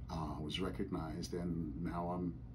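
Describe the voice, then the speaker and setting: Vocal fry runs through this man's voice. His pitch is very deep and low. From Costa Rica. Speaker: karate grand master. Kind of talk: oral history interview answer.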